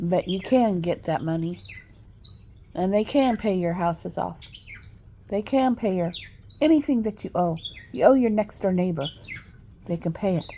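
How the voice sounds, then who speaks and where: An American-accented woman speaks with a dark, mellow tone at medium pitch and lively intonation. Her moderate pace is broken by long, frequent pauses. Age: 60s. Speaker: vlogger. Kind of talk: monologue. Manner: rambling, halting.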